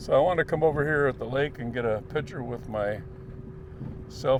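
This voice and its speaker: Noticeable background noise accompanies a man with an American accent whose pitch varies in an ordinary way. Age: 70s. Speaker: vlogger and Vietnam veteran. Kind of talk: casual reminiscing vlog. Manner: halting, many filler pauses.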